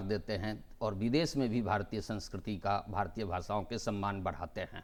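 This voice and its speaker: The background is silent on this very clean recording. A man does the talking. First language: Maithili (speaking Hindi). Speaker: TV host. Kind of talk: TV panel discussion. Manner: formal.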